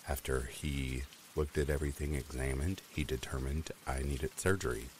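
A warm tone with fairly even intonation at a moderate pace. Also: man. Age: 30s. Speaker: horror story narrator. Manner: warm and chatty, with occasional laughs.

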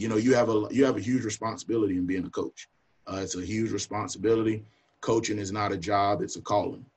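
A man with a Southern US accent talks at a fairly quick pace, his medium-pitched voice somewhat breathy. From North Carolina (Union County, near Charlotte). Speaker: college football coach. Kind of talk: casual talk on video call.

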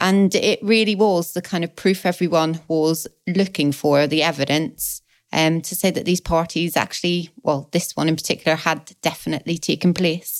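Speaking with a Belfast accent, a woman keeps a fairly low pitch and fairly even intonation at a moderate pace. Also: very clean recording, silent background. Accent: Belfast Northern Irish. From Northern Ireland, Belfast. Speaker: political podcast co-host. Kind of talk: casual chat.

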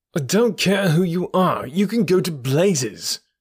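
Bellowing in a put-on character voice, a man speaks at a high pitch and moderate pace with lively intonation. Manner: angry, roaring.

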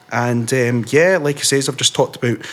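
A man with a Scottish accent and ordinary pitch variation. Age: 20s. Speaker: podcast host and author. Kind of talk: casual chat. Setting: video call.

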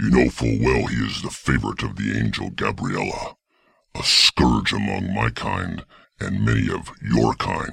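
At a moderate pace, a man growls in a put-on character voice with a very deep, low pitch. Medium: audio drama. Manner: arrogant, menacing.

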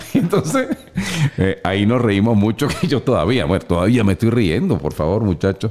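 Over noticeable background noise, a man speaks at medium pitch and a moderate pace. His tone is animated, his intonation lively and his loudness very even. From Venezuela. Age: 50s. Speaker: motivational speaker and voice-over announcer. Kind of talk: casual interview. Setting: studio.

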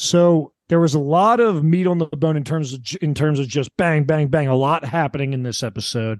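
A man with a normal speaking voice talks at a moderate pace with hardly any pauses, his fairly high pitch showing ordinary variation, in a dry, close sound with no echo. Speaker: podcast co-host. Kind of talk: casual podcast discussion of a TV show.

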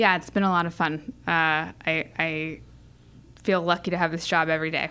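Bright and sharp in tone, a voice with a General American accent keeps a fairly even intonation on a very clean recording with a silent background. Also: woman. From San Diego, California. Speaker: venture capital investor. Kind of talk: interview. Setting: office. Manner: hesitant, many fillers.

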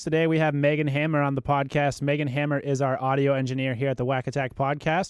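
In a plain, everyday voice, a man talks at a medium pitch. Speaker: podcast host. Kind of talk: casual chat. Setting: studio.

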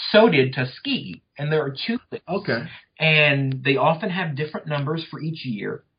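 Speaking with a Southern US accent, a man with a fairly high pitch talks at a moderate pace with lively intonation. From North Louisiana, US South. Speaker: history professor. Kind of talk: interview about his book.

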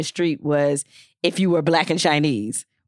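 A woman with an American accent, very deep and low in pitch, at a moderate pace, in a dry, close sound with no echo and a very clean recording over a silent background. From Detroit, Michigan. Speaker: podcast co-host, former journalist. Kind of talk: casual chat.

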